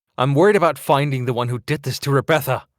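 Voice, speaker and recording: A man's put-on character voice, growling and very fast, at a medium pitch with ordinary pitch variation. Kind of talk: visual novel read-aloud. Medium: game stream.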